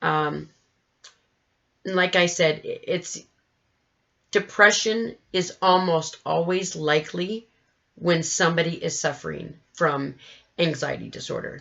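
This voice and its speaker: With long, frequent pauses, a woman talks at a fairly slow pace in a fairly even intonation, her voice showing vocal fry. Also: fairly low pitch for a woman. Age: 40s. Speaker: mental health vlogger. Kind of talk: educational vlog. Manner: halting.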